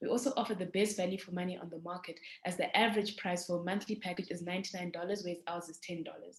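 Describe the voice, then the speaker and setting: Against noticeable background noise, a woman speaks at a very fast pace with hardly any pauses, fairly even intonation and big swings in loudness. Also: medium pitch for a woman. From South Africa (moved from Zimbabwe at seven). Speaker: startup founder. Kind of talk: pitch presentation.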